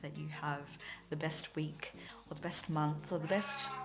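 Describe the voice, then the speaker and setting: A woman with an Australian accent talks at a moderate pace. Room echo is audible. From Philippines / Australia (Filipina-Australian). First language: Tagalog. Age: 20s. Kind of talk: casual vlog talk to camera. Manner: chatty, filler-heavy.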